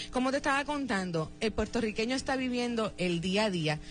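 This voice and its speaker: Music plays in the background. Over it, a woman speaks at a medium pitch. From Puerto Rico, Lares (central mountain area). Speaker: radio host. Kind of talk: radio interview.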